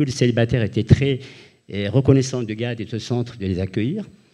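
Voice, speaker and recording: A man speaks in a medium pitch with a dark, mellow tone. The background is quiet. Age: 80s+. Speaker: retired-age architect, former student resident. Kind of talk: panel discussion testimony. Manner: halting, many repetitions.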